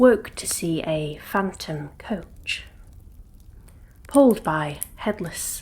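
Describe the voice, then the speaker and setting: Soft-spoken and somewhat breathy, a woman talks at a very slow pace with a medium pitch. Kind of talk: ASMR ghost story narration.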